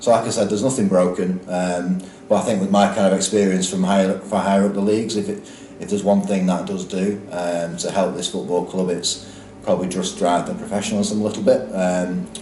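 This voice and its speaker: Over noticeable background noise and audible room echo, a man with a Lancashire accent speaks fairly quickly in a fairly low, monotone, flat voice. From northern England, Lancashire. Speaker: football club executive. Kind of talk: interview. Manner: hesitant, many fillers.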